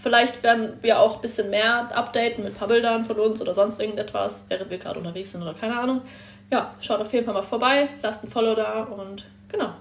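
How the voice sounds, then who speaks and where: A woman at a very fast pace, fairly high in pitch, with big swings in loudness. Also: fairly even intonation. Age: 20s. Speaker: trainee car mechatronics technician. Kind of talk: casual chat.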